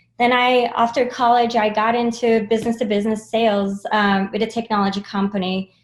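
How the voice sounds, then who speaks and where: A woman speaks at a fairly quick pace with hardly any pauses, her pitch fairly high. Her loudness stays very even and her intonation is monotone and flat. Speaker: sales enablement leader. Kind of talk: interview. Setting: video call.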